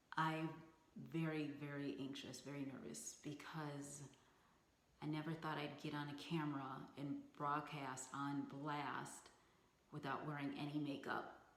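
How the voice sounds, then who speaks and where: In a room with audible room echo, a woman with a very deep, low pitch speaks in a monotone, flat intonation at a fairly slow pace, leaving long, frequent pauses. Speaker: beauty vlogger. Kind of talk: casual vlog talk to camera. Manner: halting, stuttering with ums.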